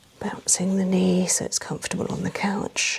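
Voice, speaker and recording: A woman speaks in a soft-spoken voice. Noticeable background noise is present. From England. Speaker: massage therapist. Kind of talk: massage narration.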